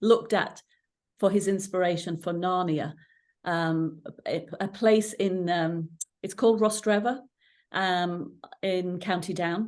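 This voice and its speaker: A woman speaks with an English accent at a medium pitch. Her pace is fairly slow and her intonation fairly even. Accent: English-sounding accent, stood out in Ireland. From England, Irish parents; moved to Northern Ireland at 13. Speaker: coach and coach trainer. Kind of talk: interview conversation.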